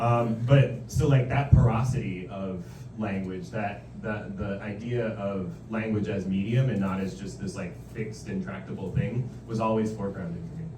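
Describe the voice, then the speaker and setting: In a room with audible echo and noticeable background noise, a man with an American accent and a fairly low pitch speaks at a moderate pace, with lively intonation and big swings in loudness. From Iran. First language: Farsi. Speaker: poet and novelist. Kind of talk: author Q&A at book event. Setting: bookstore event with audience. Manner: casual, filler-heavy.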